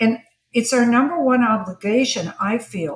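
A woman's somewhat breathy voice moves at a fairly slow pace, its pitch varying in an ordinary way. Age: 70s. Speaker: image consultant and stylist. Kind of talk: casual chat.

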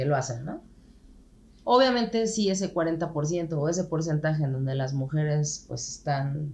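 This voice has a Mexican accent and lively intonation. It moves at a fairly slow pace. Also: woman, very deep, low pitch for a woman. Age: 40s. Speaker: podcast guest. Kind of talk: casual chat.

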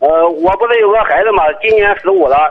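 Here a man speaks with high pitch and ordinary pitch variation. He keeps a fairly quick pace. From Tai'an, Shandong. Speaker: parent caller. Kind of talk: phone-in advice call.

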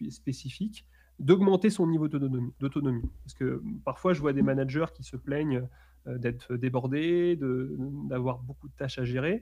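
Somewhat breathy, a man speaks at a medium pitch and fairly slow pace with ordinary pitch variation. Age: 20s. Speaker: author and management trainer. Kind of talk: interview. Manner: halting, repeating words.

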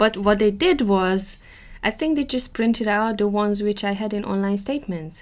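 At a moderate pace, a woman of medium pitch speaks with a Hungarian accent. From Hungary. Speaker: podcast co-host. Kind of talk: casual chat.

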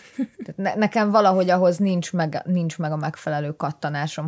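A woman with a plain, everyday voice, fairly low in pitch, at a moderate pace with ordinary pitch variation, on a very clean recording with a silent background and a dry, close sound with no echo. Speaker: biology PhD student. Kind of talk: casual chat.

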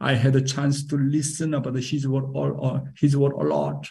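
A man speaks in a dark, mellow tone with a Korean accent. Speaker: pastor. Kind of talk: sermon. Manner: animated.

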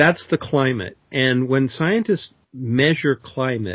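A man with an American accent speaks at medium pitch in a somewhat breathy voice. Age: 60s. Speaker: climate author and speaker. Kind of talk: interview.

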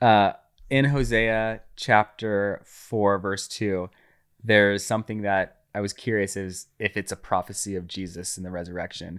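A plain, everyday voice speaks at a fairly slow pace with fairly even intonation, on a very clean recording with a silent background. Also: man, fairly low pitch for a man. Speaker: guest friend. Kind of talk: casual conversational interview.

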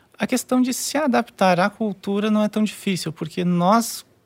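Heard dry and close with no echo, a man with a high pitch speaks at a moderate pace. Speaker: QA engineer. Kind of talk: casual chat.

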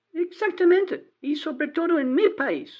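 A woman talks with lively intonation. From Texas, small town. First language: English (speaking Spanish). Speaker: caller, adult-school teacher. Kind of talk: casual chat. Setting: phone call. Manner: halting, hesitant non-native Spanish.

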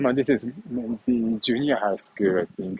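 A man speaks with a Japanese accent. His pitch is medium. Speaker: vlogger. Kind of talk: walking vlog. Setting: outdoors, walking. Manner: halting, many fillers.

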